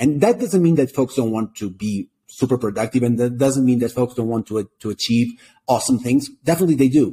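Lively intonation and a dark, mellow tone come with a Portuguese accent at a fairly quick pace. The sound is dry and close, with no echo. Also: man. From Portugal. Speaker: startup co-founder and executive. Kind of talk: interview conversation. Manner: halting, repeats words.

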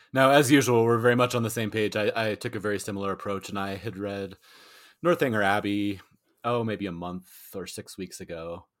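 A man talks at a fairly quick pace in a normal speaking voice, pitched fairly low with ordinary pitch variation and big swings in loudness. The recording is very clean, with a silent background. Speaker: book podcast co-host and interviewer. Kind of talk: casual chat.

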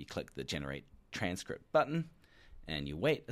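At a moderate pace, a man speaks with very wide pitch swings. The recording is very clean, with a silent background. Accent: New Zealand. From New Zealand. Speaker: company announcer presenting product features. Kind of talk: product announcement, spoken off the cuff. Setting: recorded into a microphone.

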